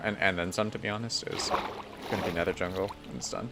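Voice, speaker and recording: Over music in the background, a man with an American accent talks at a very fast pace with ordinary pitch variation. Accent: American, self-described as mumbling. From United States. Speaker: Minecraft streamer. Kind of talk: live stream commentary.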